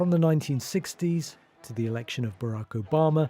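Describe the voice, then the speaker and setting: A man speaks at a moderate pace with ordinary pitch variation, music playing in the background. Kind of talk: TV news report voiceover.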